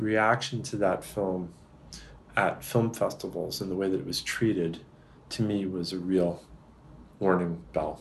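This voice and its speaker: A man with an American accent sounds somewhat breathy, speaking at a fairly slow pace with long, frequent pauses. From Massachusetts, US. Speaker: film critic and filmmaker. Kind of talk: interview.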